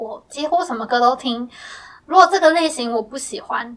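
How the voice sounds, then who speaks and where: With ordinary pitch variation, the woman keeps a moderate pace. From Taiwan, Miaoli Hakka. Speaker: blind singer-songwriter. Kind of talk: interview conversation. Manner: relaxed, frequent hesitations.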